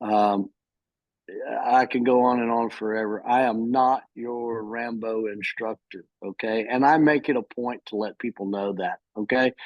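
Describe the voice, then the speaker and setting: Medium-pitched American accent from a man, fairly even in intonation, at a fairly slow pace. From Texas. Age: 60s. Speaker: firearms instructor. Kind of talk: casual chat. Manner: halting. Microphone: phone.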